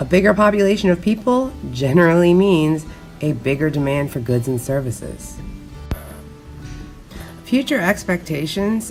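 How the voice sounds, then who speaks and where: Music plays behind a woman with a very deep, low pitch. She talks at a moderate pace, her pitch swinging very widely. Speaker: teacher. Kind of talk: educational lecture narration.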